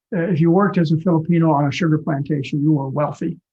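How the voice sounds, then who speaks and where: A man is talking at a very fast pace. His pitch is fairly high. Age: 70s. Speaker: physician and author. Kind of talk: live online talk Q&A.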